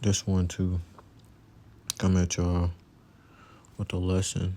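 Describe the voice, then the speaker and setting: A soft-spoken man with a very deep, low pitch, a dark, mellow tone and monotone, flat intonation. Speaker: religious teacher. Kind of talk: religious lesson. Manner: casual.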